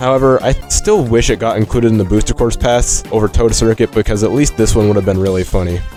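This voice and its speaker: Over music in the background, a man speaks at a very fast pace and a medium pitch, with ordinary pitch variation and very even loudness. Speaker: gaming video creator. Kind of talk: scripted video essay narration.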